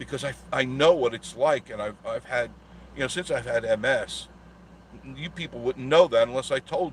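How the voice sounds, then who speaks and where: This man has a New York accent. He talks at a moderate pace. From Long Island, New York. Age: 60s. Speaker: travel vlogger. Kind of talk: casual live stream monologue.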